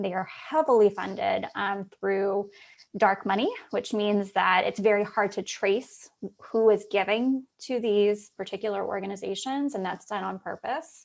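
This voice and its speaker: Against a quiet background, a woman in a normal speaking voice talks at a fairly slow pace in a medium pitch with ordinary pitch variation. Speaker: policy advocate presenter. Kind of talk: conference presentation.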